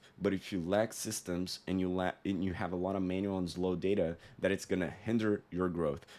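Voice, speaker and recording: With a non-native accent, a man talks in a very deep, low pitch and a dark, mellow tone, his intonation monotone and flat, with hardly any pauses. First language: not English. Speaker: sales consultant. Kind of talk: tutorial. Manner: casual, conversational with fillers.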